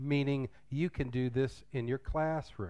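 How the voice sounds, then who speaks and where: Against a quiet background, a man with an American accent speaks at a fairly slow pace, his medium pitch showing ordinary variation. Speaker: English teacher and drama director. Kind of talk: conference workshop talk. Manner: loud; casual.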